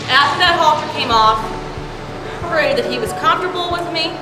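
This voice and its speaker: A woman's extremely high, raised and projected voice in an American accent, with lively intonation, audible room echo and music in the background. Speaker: horse trainer. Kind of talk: casual training video narration. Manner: loud.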